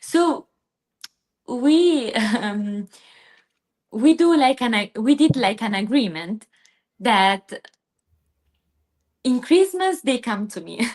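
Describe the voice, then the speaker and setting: A woman with an Italian accent speaks at a very slow pace and fairly high pitch, her voice swinging very widely in pitch between long, frequent pauses. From southern Italy, Basilicata. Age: 20s. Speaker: PhD student, guest. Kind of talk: interview. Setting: live stream. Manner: halting.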